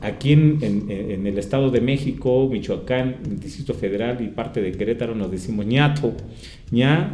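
Audible room echo surrounds a man whose dark, mellow tone sits at medium pitch, with ordinary pitch variation and a moderate pace. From Mexico, San Pablo Autopan, Toluca, State of Mexico. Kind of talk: interview. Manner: halting, many fillers.

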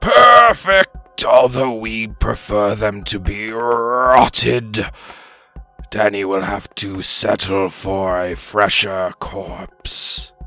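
Over faint background music, a man uses a put-on character voice, fairly low in pitch and at a very slow pace. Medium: actual play. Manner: formal, halting, emphatic repetitions.

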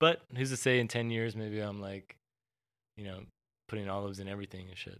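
A man speaks quickly enough, in a normal speaking voice with an American accent, his pitch fairly low and his intonation fairly even. His loudness swings widely. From Texas (Houston). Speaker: podcast host and street artist. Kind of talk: casual chat.

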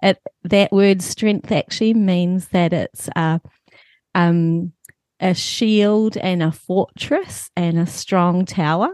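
A woman's medium-pitched voice in a New Zealand accent, very slow in pace, with fairly even intonation and very even loudness, in a dry, close sound with no echo. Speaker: author and church leader. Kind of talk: casual chat.

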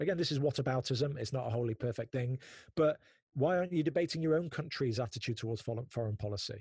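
A man's medium-pitched, somewhat breathy voice at a very fast pace, with ordinary pitch variation and a dry, close sound with no echo. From northern England, Manchester. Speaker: podcast host. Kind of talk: interview conversation. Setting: remote call from home office. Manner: animated.

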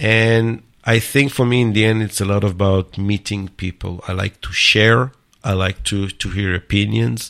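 A man speaks with an Israeli accent. His pitch is fairly low. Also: fairly even intonation, moderate pace. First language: Hebrew. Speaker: startup accelerator builder and mentor. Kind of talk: interview. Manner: halting, many fillers.

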